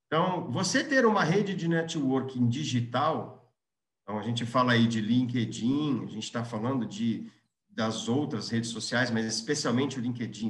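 A man speaks at medium pitch with ordinary pitch variation. Audible room echo surrounds his voice. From Brazil, Londrina (Paraná). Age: 40s. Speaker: business executive. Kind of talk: interview, career storytelling. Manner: halting, frequent restarts.

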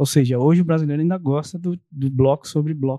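A man with an unremarkable speaking voice, fairly quick and fairly even in intonation, in a dry, close sound with no echo. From São Paulo state, ABC region. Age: 40s. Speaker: architect and real estate developer. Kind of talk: casual interview.

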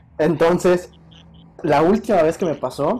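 A man's dark, mellow tone with ordinary pitch variation, in a Mexican accent. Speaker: podcast host. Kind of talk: casual chat.

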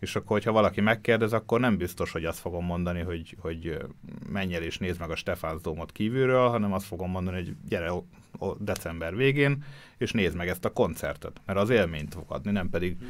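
Over a silent background on a very clean recording, a man talks very fast in a very deep, low voice. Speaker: photographer. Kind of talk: casual chat. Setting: studio.

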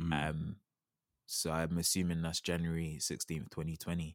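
A man's very deep, low voice, very slow and relaxed, in a dry, close sound with no echo. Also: very clean recording, silent background. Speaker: podcast host. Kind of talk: casual chat; poem reading aloud. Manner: relaxed, conversational.

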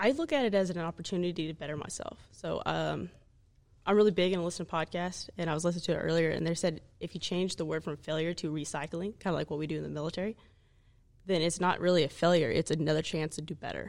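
A woman's very fast speech in an American accent, fairly low in pitch, with fairly even intonation. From Oklahoma. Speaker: staff sergeant. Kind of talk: casual chat.

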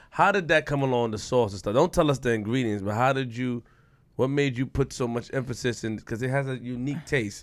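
Speaking with a New York accent, a man talks at a fairly quick pace with a medium pitch and ordinary pitch variation. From Queens, New York. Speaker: podcast co-host. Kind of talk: casual interview.

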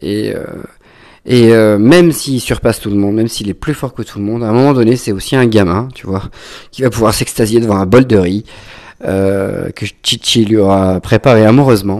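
A man speaks with ordinary pitch variation and keeps a moderate pace. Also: medium pitch for a man. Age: 30s. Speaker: wine educator and podcaster. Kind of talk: casual monologue. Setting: at home. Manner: halting, many fillers.

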